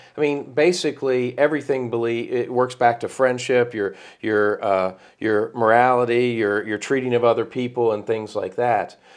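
An ordinary speaking voice comes from a man at medium pitch. He talks at a moderate pace with fairly even intonation over a quiet background. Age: 50s. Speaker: podcast host. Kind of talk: casual chat.

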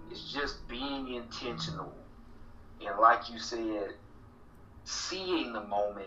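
A very slow, lively delivery in a Southern US accent, with long, frequent pauses and big swings in loudness. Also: man, medium pitch for a man. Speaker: guest, political organizer. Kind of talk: casual interview conversation.

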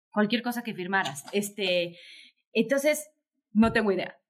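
A woman with a fairly high pitch and ordinary pitch variation talks at a moderate pace in an unremarkable speaking voice. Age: 40s. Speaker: author and diversity consultant. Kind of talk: interview conversation.

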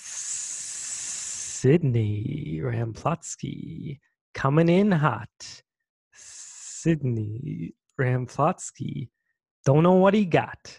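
A man's put-on character voice, hissing, at medium pitch and a very slow pace. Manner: boastful, rhythmic.

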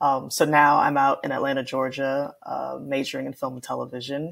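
This is a woman's voice. She speaks with an American accent. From Houston, Texas. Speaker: film student and artist. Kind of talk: interview.

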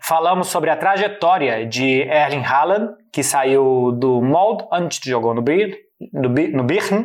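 A man with a Brazilian accent speaks at a fairly slow pace in a fairly high pitch with lively intonation. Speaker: football journalist. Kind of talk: casual explainer chat.

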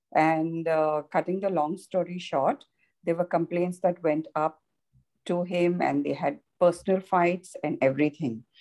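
Her tone is dark and mellow, her pitch fairly low with ordinary variation. The woman speaks at a fairly slow pace. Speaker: prayer group member. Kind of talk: testimony. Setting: video call. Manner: quiet.

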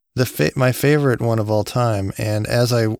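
Medium in pitch, a man talks with fairly even intonation in an ordinary speaking voice, the sound dry and close with no echo on a very clean recording with a silent background. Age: 40s. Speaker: comedy podcast host. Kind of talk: casual chat.

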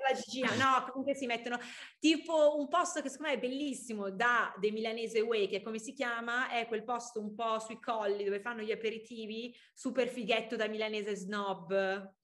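With a fairly high pitch and ordinary pitch variation, this woman talks at a fairly quick pace in an unremarkable speaking voice. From Milan, northern Italy. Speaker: young entrepreneur, fashion founder. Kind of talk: casual interview. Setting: podcast.

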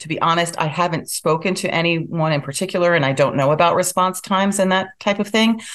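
A woman talks at a moderate pace in an ordinary speaking voice, with ordinary pitch variation. The background is quiet. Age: 60s. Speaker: town board candidate. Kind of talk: interview. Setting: video call.

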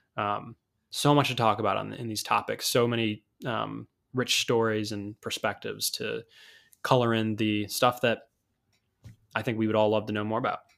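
A man speaks at a medium pitch in a monotone, flat intonation, leaving long, frequent pauses, on a very clean recording with a silent background. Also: moderate pace. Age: 20s. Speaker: soccer podcast co-host. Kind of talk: casual chat.

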